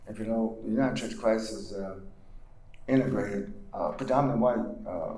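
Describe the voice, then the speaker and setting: Amid noticeable background noise and audible room echo, a man with an American accent speaks quite quickly at a medium pitch with ordinary pitch variation. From US South, North Carolina (Granville County). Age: 70s. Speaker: civil rights leader and pastor. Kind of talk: lecture.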